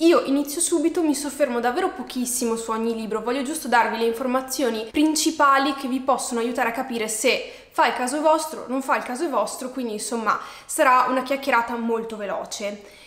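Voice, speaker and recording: A woman with a high pitch talks at a fairly quick pace and ordinary pitch variation, with audible room echo around her. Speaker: book vlogger. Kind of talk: casual vlog chat. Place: home room.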